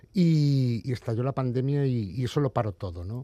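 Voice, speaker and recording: A man's dark, mellow tone is heard over a quiet background. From Spain, Galicia. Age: 40s. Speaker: comic book author. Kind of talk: interview. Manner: halting, many repetitions.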